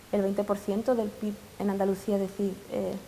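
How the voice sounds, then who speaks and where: A woman's monotone, flat intonation carries through noticeable background noise. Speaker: politician. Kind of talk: political interview answer.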